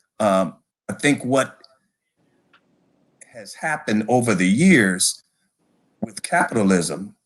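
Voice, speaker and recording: A man with an American accent, very slow and full of long, frequent pauses, his intonation lively and his loudness swinging widely. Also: medium pitch for a man. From Detroit, Michigan. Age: 60s. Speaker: bowling hall of fame director. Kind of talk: interview.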